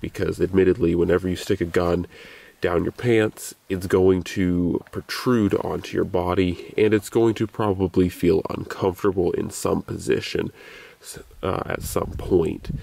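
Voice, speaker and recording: A man's very deep, low voice, fairly slow, with fairly even intonation and a dry sound with no echo. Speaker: gear reviewer. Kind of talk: casual vlog chat. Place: open country.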